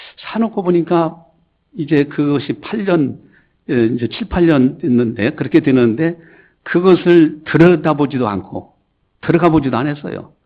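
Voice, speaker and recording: A man talks at a moderate pace with a fairly high pitch. He has an ordinary speaking voice. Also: lively intonation. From Chungcheong, South Korea (Gongju, South Chungcheong). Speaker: pastor. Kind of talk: sermon. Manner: conversational, anecdotal.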